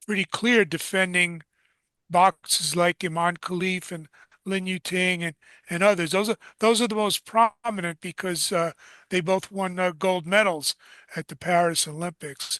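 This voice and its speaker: In a New York accent, a man speaks at a high pitch with a bright, sharp tone and fairly even intonation, the sound dry and close with no echo over a quiet background. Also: moderate pace. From New York City. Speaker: combat sports journalist and co-host. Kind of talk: interview show commentary.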